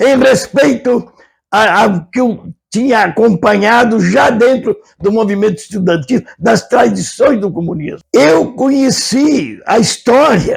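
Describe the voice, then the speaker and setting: A high-pitched man's voice, very slow in pace, with lively intonation. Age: 80s+. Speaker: retired professor and businessman, interview guest. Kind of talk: interview. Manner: impassioned; halting with stammers.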